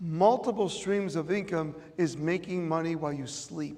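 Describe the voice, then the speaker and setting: A man with an American accent speaks at a high pitch with ordinary pitch variation. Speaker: motivational speaker. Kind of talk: motivational speech. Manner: animated.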